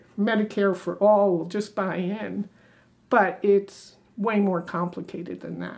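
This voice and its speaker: Speaking very slowly, a woman uses a medium pitch with vocal fry. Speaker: retiree, town hall attendee. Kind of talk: question from audience. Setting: town hall with audience.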